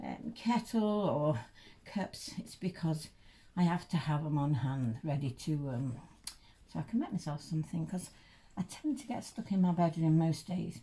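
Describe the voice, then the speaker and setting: A woman with an East Midlands accent speaks at a moderate pace in a fairly low, somewhat breathy voice. Her tone is dark and mellow, and her intonation is lively. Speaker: reborn doll collector vlogger. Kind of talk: casual unboxing vlog. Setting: bedroom at home. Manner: halting, many fillers.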